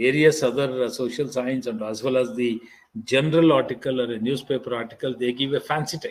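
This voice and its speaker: At a medium pitch and moderate pace, a man with an ordinary speaking voice keeps his intonation fairly even. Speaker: invited lecturer on academic writing. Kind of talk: lecture. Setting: online faculty development programme.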